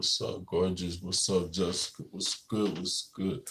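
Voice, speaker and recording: A man talks at a fairly slow pace in a fairly low pitch, his intonation monotone and flat. His tone is relaxed and somewhat breathy. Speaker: livestreamer, mukbang creator. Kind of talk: casual livestream chat. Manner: relaxed, hesitant with fillers.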